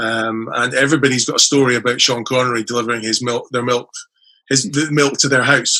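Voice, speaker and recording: A man with an Edinburgh accent talks at a fairly quick pace and a medium pitch, his tone bright and sharp. His intonation is flat and monotone. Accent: Scottish (Edinburgh). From Scotland, Edinburgh. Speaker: author. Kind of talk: casual chat.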